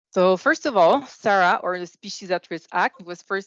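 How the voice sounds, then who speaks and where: At a moderate pace and medium pitch, a woman speaks in a Quebec accent, the sound dry and close with no echo. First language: French. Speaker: government biologist. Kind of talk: conference presentation. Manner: hesitant, many fillers.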